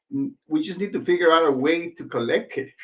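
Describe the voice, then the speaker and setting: A man with a Spanish accent speaks at a high pitch with very wide pitch swings. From Mexico (Michoacán, small town), moved to Los Angeles at 16. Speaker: franchise business owner. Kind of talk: interview.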